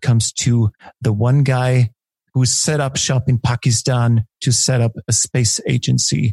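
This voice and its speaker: A man talks with a German accent in a somewhat breathy voice. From Austria. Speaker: podcast host. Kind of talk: podcast interview.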